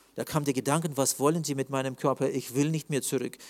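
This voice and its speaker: A man speaks in an ordinary speaking voice at a fairly quick pace with fairly even intonation. The recording is very clean, with a silent background. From Russia, Russian-German community (Siberia). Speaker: preacher sharing near-death testimony. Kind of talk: testimony.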